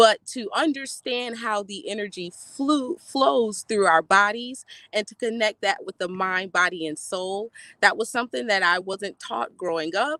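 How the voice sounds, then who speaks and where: A woman's medium-pitched voice with an American accent and a bright, sharp tone, fairly slow with lively intonation and big swings in loudness, dry and close with no echo. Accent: US Southern, Gullah Geechee Lowcountry. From South Carolina Lowcountry (Beaufort), Gullah Geechee culture. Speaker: energy healer and health coach. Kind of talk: panel discussion introduction.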